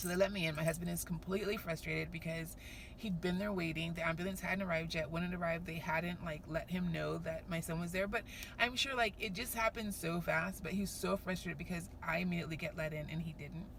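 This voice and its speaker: In a room with audible echo, a woman talks at a very fast pace with a fairly low pitch and fairly even intonation. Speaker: vlogger, working mother. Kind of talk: casual vlog. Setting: on the way to work.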